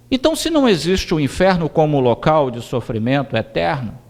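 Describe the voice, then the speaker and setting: His pitch is fairly high for a man and swings very widely. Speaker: spiritist lecturer. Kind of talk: lecture.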